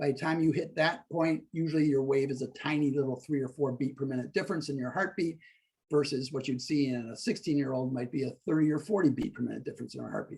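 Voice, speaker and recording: A man's fairly high, somewhat breathy voice at a very fast pace, with ordinary pitch variation. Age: 60s. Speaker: stress-reduction coach. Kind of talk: interview explaining a technique.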